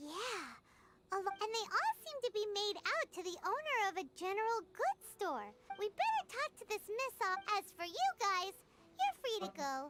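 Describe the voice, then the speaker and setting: At a moderate pace, a squeaky, put-on character voice speaks at an extremely high pitch. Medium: video game.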